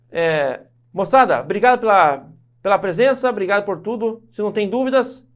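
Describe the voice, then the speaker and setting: Shouting loudly, a man speaks at a high pitch and a moderate pace with lively intonation. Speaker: law teacher for civil service exams. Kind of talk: online lecture. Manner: loud, shouts a lot; animated.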